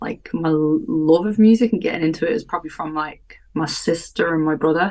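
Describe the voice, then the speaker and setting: With a Welsh accent, a woman speaks at a fairly quick pace in a fairly low pitch with ordinary pitch variation. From Wales. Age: 30s. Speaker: live techno artist and DJ. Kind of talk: casual chat.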